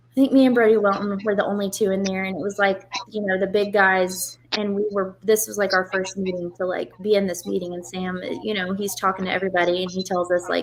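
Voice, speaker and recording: Noticeable background noise sits behind a woman's medium-pitched voice. She talks at a fairly quick pace with fairly even intonation. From Oklahoma, Tulsa. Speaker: drag racer. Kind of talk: interview. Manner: soft-spoken.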